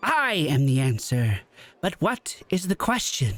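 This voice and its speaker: Speaking at a fairly slow pace, a man uses a put-on character voice pitched fairly high. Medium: actual play. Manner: pompous, pedantic.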